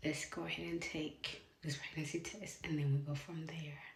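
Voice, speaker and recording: A woman talks at a moderate pace, and room echo can be heard. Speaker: vlogger. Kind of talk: casual vlog talk to camera. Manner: chatty, hesitant with fillers.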